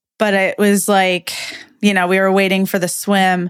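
A woman with an unremarkable speaking voice at a medium pitch is heard on a very clean recording with a silent background. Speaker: professional triathlete and podcast host. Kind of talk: casual chat.

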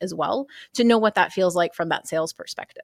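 A woman with an American accent and a normal speaking voice talks at a fairly quick pace, her medium pitch showing ordinary variation. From Texas. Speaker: mortgage operations consultant. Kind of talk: interview. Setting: conference.

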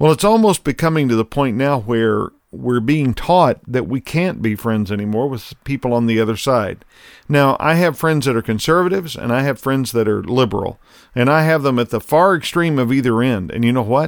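A man talks at a fairly quick pace with lively intonation at a medium pitch, a normal speaking voice. The recording is very clean with a silent background. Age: 60s. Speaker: podcast host and leadership consultant. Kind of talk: solo commentary monologue. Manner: conversational.

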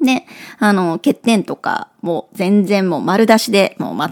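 Recorded very cleanly against a silent background, with a dry, close sound and no echo, a woman speaks at medium pitch with vocal fry. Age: 40s. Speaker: podcast host, career coach. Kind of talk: casual monologue. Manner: animated.

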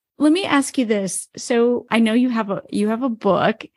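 A woman speaks in a normal speaking voice, fairly high in pitch with ordinary pitch variation. The sound is dry and close, with no echo. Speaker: podcast host. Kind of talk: interview conversation.

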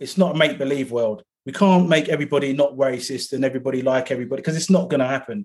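With a London accent, a man talks at a very fast pace with hardly any pauses. His pitch is fairly high, with ordinary variation. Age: 50s. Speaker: activist and author. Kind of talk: casual chat. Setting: video call.

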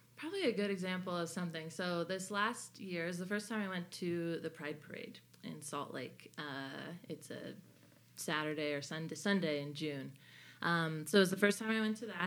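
Using an American accent, a woman speaks at a fairly low pitch and moderate pace with ordinary pitch variation. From California, Bay Area. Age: 20s. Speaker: Latter-day Saint convert, former college basketball player. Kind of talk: casual interview conversation.

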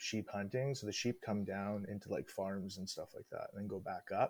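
On a very clean recording with a silent background, a man with a Western Canadian accent speaks at a fairly low pitch. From Northwest British Columbia. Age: 30s. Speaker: hunter and drill mechanic. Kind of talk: casual chat.

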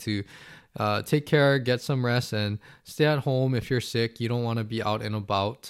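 A man's plain, everyday voice at medium pitch, with fairly even intonation, a moderate pace, and a very clean recording with a silent background. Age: 30s. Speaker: athletic trainer and podcast host. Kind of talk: solo podcast monologue.

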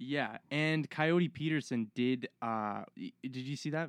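A man with a normal speaking voice talks at a fairly slow pace and a fairly high pitch with ordinary pitch variation and hardly any pauses. The sound is dry and close with no echo, over a quiet background. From Halifax, Nova Scotia, Canada. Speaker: forestry worker. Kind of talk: casual chat. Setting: bush camp.

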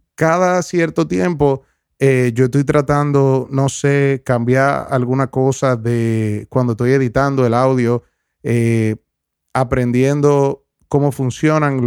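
A man at a medium pitch is heard on a very clean recording with a silent background, the sound dry and close with no echo. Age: 20s. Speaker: podcast host. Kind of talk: reflective solo monologue. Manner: halting, many fillers and repetitions.

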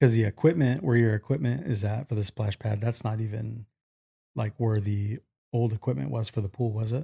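On a very clean, dry recording with a silent background and no echo, a man talks at a fairly quick pace in a medium-pitched, somewhat breathy voice, his tone dark and mellow and his pitch varying in an ordinary way. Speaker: podcast host. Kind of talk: casual podcast interview.

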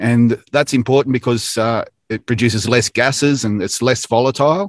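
A man with an Australian accent talks at a fairly slow pace in an enthusiastic tone. His pitch sits in the medium range, and the background is quiet. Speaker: manufacturing industry director. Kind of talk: casual interview, informative update. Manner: many filler words (uh, um).

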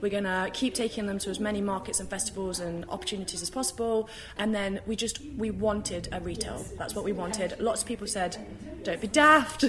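Noticeable background noise sits under speech delivered at a very fast pace with ordinary pitch variation. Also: woman, medium pitch for a woman. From UK. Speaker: tea company co-founder. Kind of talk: casual interview. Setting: live event, moved indoors.

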